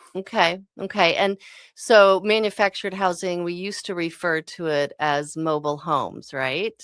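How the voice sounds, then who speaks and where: Heard on a very clean recording with a silent background, a woman with an American accent and a fairly low pitch uses a normal speaking voice at a moderate pace, with ordinary pitch variation. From Mississippi, US South. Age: 50s. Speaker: radio host. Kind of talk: radio interview. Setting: studio.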